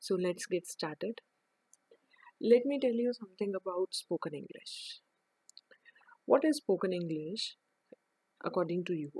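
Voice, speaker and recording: In a dry, close sound with no echo, a woman with an Indian accent speaks at a medium pitch in a dark, mellow tone, with lively intonation and long, frequent pauses. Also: moderate pace. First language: Hindi. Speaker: English teacher. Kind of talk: online lesson. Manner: halting.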